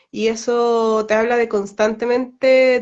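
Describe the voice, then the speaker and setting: Her intonation fairly even, a woman with a Chilean accent speaks at a fairly high pitch. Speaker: astrologer. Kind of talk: casual live-stream discussion.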